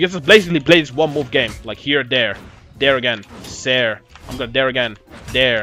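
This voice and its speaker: Background music is playing. A man's speech comes at a fairly quick clip. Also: medium pitch for a man, ordinary pitch variation. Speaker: video game coach. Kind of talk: tutorial while playing. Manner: fast; casual, filler-heavy.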